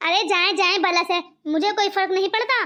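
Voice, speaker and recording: A woman uses a squeaky, cartoonish character voice at an extremely high pitch. Her pace is moderate, her loudness very even and her intonation fairly even. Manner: harsh, scolding.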